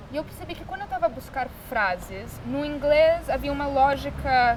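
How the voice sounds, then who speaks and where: Amid noticeable background noise, a woman with an English accent speaks in a high voice. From Brazil. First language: English (speaking Portuguese). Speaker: artist. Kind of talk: interview.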